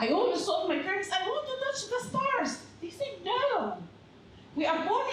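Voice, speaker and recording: In a space with audible room echo and noticeable background noise, a woman talks at a moderate pace. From Egypt. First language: Arabic. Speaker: public health educator and former psychiatrist. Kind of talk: storytelling talk. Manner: animated.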